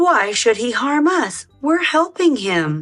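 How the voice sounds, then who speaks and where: A female-sounding voice uses a put-on character voice with high pitch and very wide pitch swings. She talks at a fairly slow pace over faint background music. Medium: read story.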